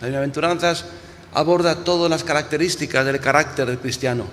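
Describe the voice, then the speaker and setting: A man's voice with audible room echo. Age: 60s. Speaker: pastor. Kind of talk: sermon. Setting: church. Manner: halting, with frequent repetitions and restarts.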